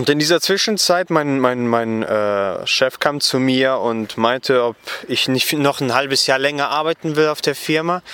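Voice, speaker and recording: Over noticeable background noise, a man speaks fairly slowly in a fairly high pitch. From western Germany, Gummersbach near Cologne. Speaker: Bible school student. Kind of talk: interview. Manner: halting, many fillers.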